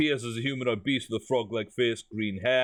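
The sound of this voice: The clip has an unforced reading voice. Its intonation stays fairly even.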